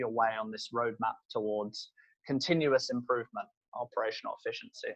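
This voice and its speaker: A man speaks with a British accent. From UK. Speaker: solutions consultant. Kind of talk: webinar presentation. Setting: online webinar.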